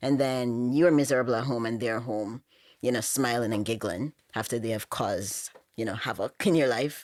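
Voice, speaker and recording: At a moderate pace, a woman speaks with a Jamaican accent in a very deep, low pitch with ordinary pitch variation. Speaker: podcast guest. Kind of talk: casual chat.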